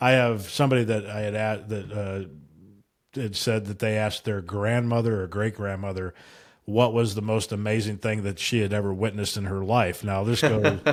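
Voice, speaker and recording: At a moderate pace, a man with an unremarkable speaking voice talks at a fairly low pitch with fairly even intonation, in a very clean recording with a silent background. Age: 60s. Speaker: trading podcast co-host. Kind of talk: casual chat.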